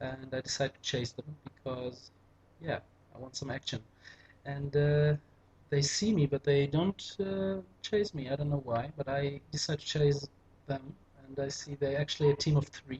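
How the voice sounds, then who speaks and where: The speaker talks at a moderate pace with a German accent, leaving long, frequent pauses. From Germany. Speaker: gaming commentator. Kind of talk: gameplay commentary. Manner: casual, hesitant with fillers. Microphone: poor microphone.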